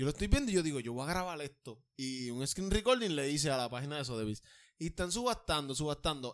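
This man has a fairly high pitch, an animated tone and lively intonation. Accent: Puerto Rican. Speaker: podcast co-host, artist. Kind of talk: casual chat.

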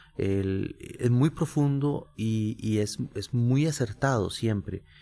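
A man talks at medium pitch with ordinary pitch variation and a dark, mellow tone. The recording is very clean, with a silent background. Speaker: jazz flutist and professor. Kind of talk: casual chat. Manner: halting.

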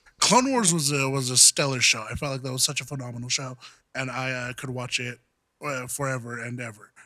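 A man with an American accent talks at a fairly quick pace in a monotone, flat intonation. His tone is bright and sharp. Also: medium pitch for a man. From Southern California. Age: 20s. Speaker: podcast host. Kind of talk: casual chat.

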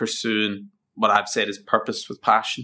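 With a Northern Irish accent, a man talks at a fairly quick pace in a bright, sharp tone on a very clean recording with a silent background. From Northern Ireland (County Down). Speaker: facilities management project lead. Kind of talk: interview.

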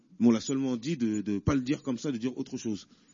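Talking at a very fast pace, a man holds a medium pitch. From Paris. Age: 30s. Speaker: inmate debate participant. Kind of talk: debate questions. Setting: prison hall with audience.

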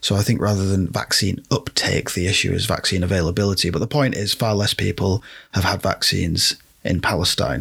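At a fairly quick pace, a man with a British accent speaks in a fairly low pitch with ordinary pitch variation. His loudness stays very even. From Britain. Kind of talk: solo commentary podcast. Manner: casual, rambling with fillers.

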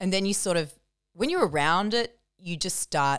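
In a very clean recording with a silent background, a woman talks with ordinary pitch variation. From country New South Wales, Australia. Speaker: comedian and journalist. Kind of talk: casual chat.

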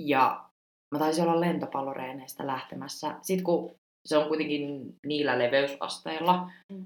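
The woman's pitch is very deep and low, and her pace fairly slow. Her intonation stays fairly even while her loudness swings widely. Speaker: podcast host, former exchange student. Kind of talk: casual chat. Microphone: poor sound quality.

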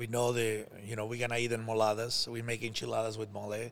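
A man speaks in a fairly low pitch with a Mexican accent. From Mexico. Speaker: chef. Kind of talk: casual chat.

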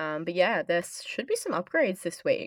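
This is an ordinary speaking voice moving at a fairly quick pace. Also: woman. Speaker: podcast host. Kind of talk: casual chat.

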